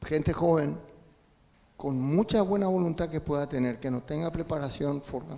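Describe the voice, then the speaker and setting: A man's fairly high-pitched voice has a dark, mellow tone, ordinary pitch variation and a fairly slow pace. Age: 70s. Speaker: audience member asking a question. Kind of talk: audience question at a seminar.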